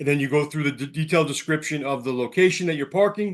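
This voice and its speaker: The background is quiet. A man speaks with a fairly high pitch and ordinary pitch variation. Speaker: sales representative. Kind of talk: sales presentation. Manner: fast.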